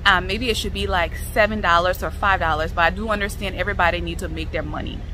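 Over music in the background, a woman speaks at a fairly quick pace in a dry sound with no echo. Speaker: vlogger reviewing a restaurant. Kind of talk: casual vlog chat. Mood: critical, mildly exasperated. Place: garden. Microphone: phone near.

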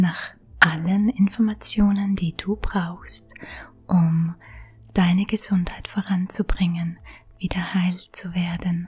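Over noticeable background noise, a soft-spoken voice moves very slowly with long, frequent pauses. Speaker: self-help coach. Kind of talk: guided affirmation recording.

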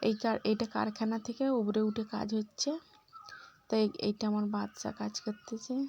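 Flat, monotone intonation from a woman pitched fairly high. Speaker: vlogger and homemaker. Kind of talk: casual vlog narration. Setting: at home and in village outdoors.

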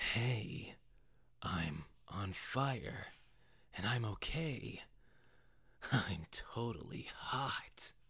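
In a put-on character voice, the speaker sounds raspy and low-pitched, moving at a very slow pace with long, frequent pauses. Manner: cocky, joking.

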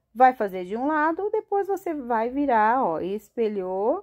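In a quiet background, a woman's voice moves through very wide pitch swings. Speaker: craft teacher. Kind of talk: tutorial. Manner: animated.

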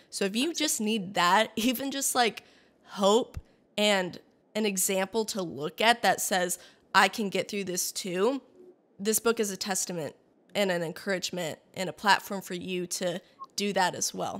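A woman's medium-pitched voice with ordinary pitch variation at a moderate pace. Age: 20s. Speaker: podcast host. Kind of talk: casual chat. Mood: warm, encouraging. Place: home room. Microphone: studio mic.

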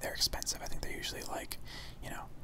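A whisper in a relaxed tone comes through noticeable background noise. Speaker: gamer / ASMR video creator. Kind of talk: casual gameplay commentary talking to camera. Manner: soft, relaxed, conversational.

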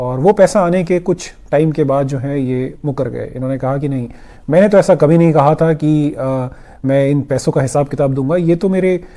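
A man's dark, mellow tone at a moderate pace over a quiet background. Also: ordinary pitch variation. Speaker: commentary vlogger. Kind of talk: political commentary vlog. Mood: critical, explanatory. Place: home room.

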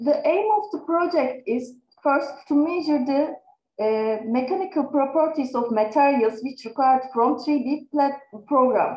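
Room echo is audible as a woman speaks with a Turkish accent. Her pitch is high and her pace fairly slow. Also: ordinary pitch variation. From Turkey. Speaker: research assistant; conference presenter. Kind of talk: conference presentation. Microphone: webcam.

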